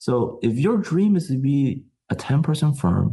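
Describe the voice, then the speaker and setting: A man with an American accent speaks in a dark, mellow, somewhat breathy tone. His voice sounds passionate and his pitch swings very widely. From US Midwest, Chicago. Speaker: tech company founder. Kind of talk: podcast discussion. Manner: passionate, emphatic.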